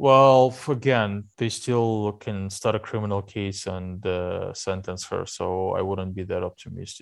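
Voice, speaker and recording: A man with a Russian accent, fairly low pitch, fairly even intonation and a fairly slow pace, hardly any pauses, over a quiet background. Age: 30s. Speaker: investigative journalist. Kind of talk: interview. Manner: hesitant with fillers.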